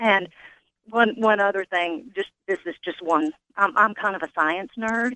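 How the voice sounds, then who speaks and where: A woman speaks at a fairly slow pace with medium pitch and ordinary pitch variation. She has a normal speaking voice. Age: 50s. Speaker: caller, program participant. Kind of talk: testimony.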